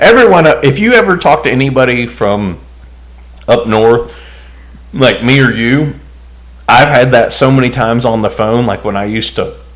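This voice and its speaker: A man with a Southern accent at a moderate pace, broken by long, frequent pauses. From US South (Alabama and Tennessee). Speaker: podcast co-host. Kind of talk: casual chat.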